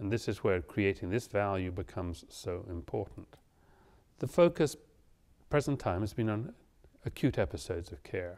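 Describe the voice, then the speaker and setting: A man with a British accent speaks at a moderate pace in a fairly low voice, his intonation lively. He leaves long, frequent pauses, and the recording is very clean with a silent background. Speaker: physician lecturer. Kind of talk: lecture.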